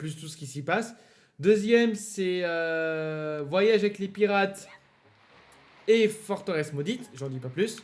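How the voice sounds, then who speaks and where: A man with a high pitch talks very slowly, using long, frequent pauses, ordinary pitch variation and big swings in loudness. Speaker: let's play gamer. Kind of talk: gameplay commentary. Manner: hesitant, many fillers.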